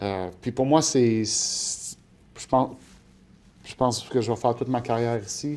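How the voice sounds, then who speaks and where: At a fairly slow pace, a man speaks in a medium pitch with ordinary pitch variation. His loudness swings widely, and he leaves long, frequent pauses. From Quebec, Montreal north shore. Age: 40s. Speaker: portfolio manager. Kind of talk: interview. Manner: hesitant, many fillers.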